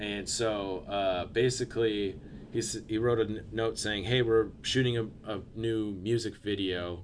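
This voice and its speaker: With an American accent, a man speaks at a fairly low pitch and with fairly even intonation. There is audible room echo. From Portland, Oregon. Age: 30s. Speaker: skateboarder and videographer. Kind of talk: casual chat. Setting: studio.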